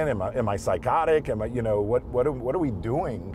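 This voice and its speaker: Against music in the background, a man speaks with lively intonation in a dry sound with no echo. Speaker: show host. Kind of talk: casual reflective talk. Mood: reflective, slightly frustrated. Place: car.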